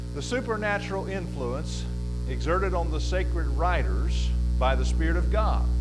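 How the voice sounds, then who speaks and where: Background music plays throughout. Over it, a man talks. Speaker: preacher teaching a class. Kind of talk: lecture. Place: church.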